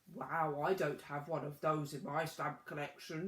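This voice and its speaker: A put-on character voice delivered at a moderate pace. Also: man, fairly high pitch for a man. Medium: read story.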